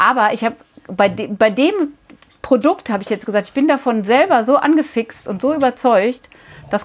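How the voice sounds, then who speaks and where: A woman's normal speaking voice at a moderate pace. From Rhineland, Germany. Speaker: milliner, hat shop owner. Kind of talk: interview. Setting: in her hat shop.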